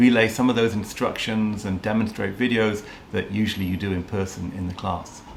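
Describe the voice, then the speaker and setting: Amid noticeable background noise and audible room echo, a man speaks at a moderate pace with a fairly low pitch in a monotone, flat intonation. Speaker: teacher. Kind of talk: interview. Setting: video call.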